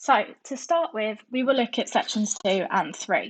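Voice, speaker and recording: A woman speaks at a moderate pace with a southern English accent. The background is quiet. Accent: sounds southern English. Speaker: nursing student. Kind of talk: educational narration.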